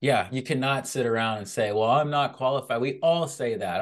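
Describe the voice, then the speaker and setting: A man speaks in a plain, everyday voice at a moderate pace with ordinary pitch variation. The background is quiet. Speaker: podcast host. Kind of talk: interview.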